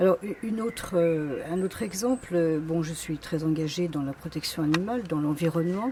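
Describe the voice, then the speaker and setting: A woman talks at a moderate pace, with a fairly low pitch and ordinary pitch variation, against noticeable background noise. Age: 60s. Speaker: political candidate. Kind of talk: campaign self-presentation. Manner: hesitant, many fillers.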